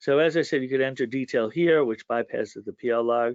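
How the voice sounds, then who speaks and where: A man with a plain, everyday voice speaks at a moderate pace, with a medium pitch and ordinary pitch variation. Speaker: software trainer. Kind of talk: webinar tutorial. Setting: online webinar.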